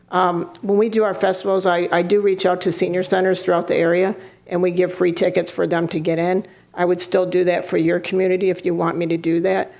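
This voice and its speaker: A woman of medium pitch speaks at a fairly quick pace in a flat monotone, her loudness very even, with noticeable background noise behind her. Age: 60s. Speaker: cannabis event organizer. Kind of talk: public comment at city council meeting.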